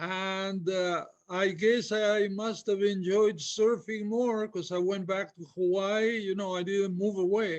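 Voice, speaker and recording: A high-pitched man at a very slow pace against a quiet background. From Peru. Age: 70s. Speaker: veteran big wave surfer. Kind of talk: interview conversation.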